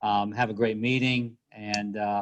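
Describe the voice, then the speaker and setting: A man's fairly low-pitched voice. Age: 60s. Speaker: university leader. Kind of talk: welcome remarks. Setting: video call. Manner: halting. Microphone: laptop via cell phone hotspot.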